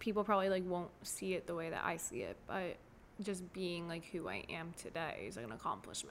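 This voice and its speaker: The voice is marked by vocal fry. It carries an American accent. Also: woman, fairly low pitch for a woman, ordinary pitch variation, fairly quick pace. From South Florida, US. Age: 20s. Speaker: therapist for foster children. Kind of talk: casual interview chat. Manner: bubbly, animated.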